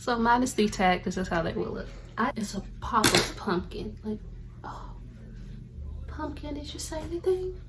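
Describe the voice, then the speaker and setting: Amid audible room echo and noticeable background noise, a woman with a high pitch and very wide pitch swings talks at a moderate pace, leaving long, frequent pauses. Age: 20s. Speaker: lifestyle content creator. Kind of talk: casual unboxing vlog. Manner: animated.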